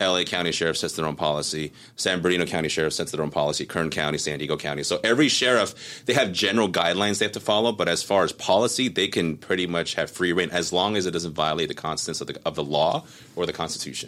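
With a very deep, low pitch yet a bright, sharp tone, a man talks at a very fast pace with hardly any pauses and ordinary pitch variation. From Southern California. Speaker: firearms instructor and combat veteran. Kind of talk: interview conversation. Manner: animated, with frequent fillers and repetitions.

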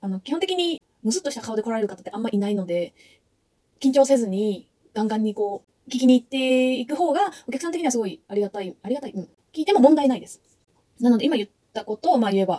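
A woman with a fairly high pitch talks at a very fast pace, with lively intonation and big swings in loudness, in a dry, close sound with no echo. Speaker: travel vlogger. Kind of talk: tutorial. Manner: hesitant, with many fillers.

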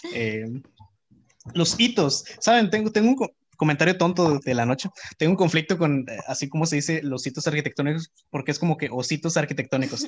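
A man with an unremarkable speaking voice and a fairly high pitch. He talks at a fairly quick pace with lively intonation. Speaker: architecture student. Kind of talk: casual chat.

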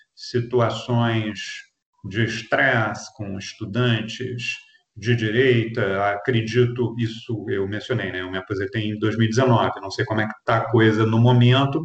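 Using an ordinary speaking voice, a man talks at a medium pitch and a fairly slow pace. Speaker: retired sociology professor. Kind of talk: interview. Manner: formal.

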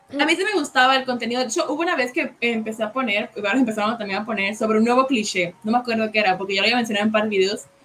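Through noticeable background noise, a woman talks at a very fast pace. Her pitch is fairly high, with ordinary variation. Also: hardly any pauses. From Puerto Rico. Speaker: podcast co-host, cover singer. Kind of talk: casual chat. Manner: sounds harsh, as if angry.

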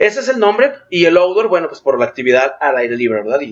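This man's voice sits high in pitch and swings very widely. He talks at a moderate pace. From Mexico, Guadalajara (Jalisco). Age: 30s. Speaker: outdoor sports and cycling event organizer. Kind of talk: casual interview.

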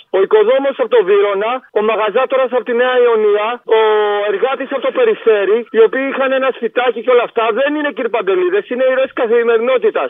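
A man speaks at an extremely high pitch and a fairly quick pace. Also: ordinary pitch variation. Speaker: caller. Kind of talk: phone-in rant. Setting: phone call. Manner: animated.

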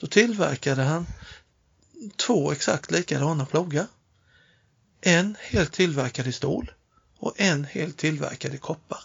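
This man's fairly high voice moves through ordinary pitch variation at a fairly slow pace, broken by long, frequent pauses. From Småland, Sweden (Nässjö). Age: 50s. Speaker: inventor and workshop owner. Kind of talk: casual chat. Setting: improvised studio in a hotel toilet. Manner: halting, many repetitions; quiet.

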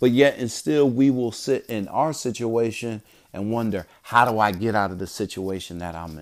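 Speaking with an American accent, a man uses a medium pitch and a moderate pace, with ordinary pitch variation. His loudness swings a lot, on a very clean recording with a silent background. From Bridgeport, Connecticut, US Northeast. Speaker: call center trainer and podcaster, Navy veteran. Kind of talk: solo motivational monologue. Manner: repetitive, halting restarts.

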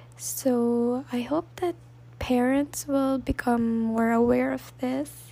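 The speaker has a Filipino accent. The pace is very slow. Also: woman. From Philippines. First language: Tagalog. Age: 20s. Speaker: podcast host. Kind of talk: solo podcast monologue.

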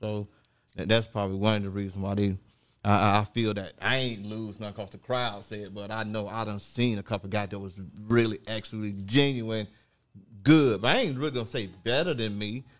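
In an American accent, a man talks with fairly low pitch and fairly even intonation. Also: fairly quick pace. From Orlando, Florida (born North Carolina). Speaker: rapper. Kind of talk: interview.

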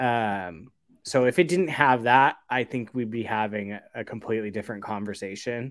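A man talks at a moderate pace in an unremarkable speaking voice. His pitch is medium, with ordinary variation. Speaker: panelist. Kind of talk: casual chat.

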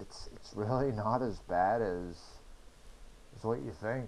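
There is audible room echo as a man talks with a New England accent. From New Hampshire. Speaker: injured motorcyclist, wheelchair user. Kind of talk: interview testimony.

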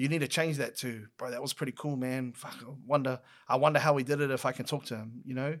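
A man speaks very fast at a medium pitch, with an Auckland accent and flat, monotone intonation. His loudness swings widely, and the recording is very clean with a silent background. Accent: New Zealand (South Auckland). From New Zealand, South Auckland. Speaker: podcaster and content creator. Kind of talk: casual chat.

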